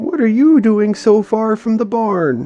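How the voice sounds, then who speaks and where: Over clear background music, a man puts on a character voice with a high pitch, lively intonation and a fairly slow pace. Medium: read story. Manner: cooing.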